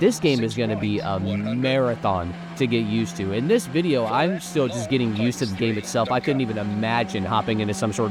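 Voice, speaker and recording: Over background music, a man with an American accent talks at a fairly quick pace, his medium-pitched voice carrying lively intonation. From United States. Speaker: sim racing YouTuber. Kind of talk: gameplay review commentary. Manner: casual, conversational.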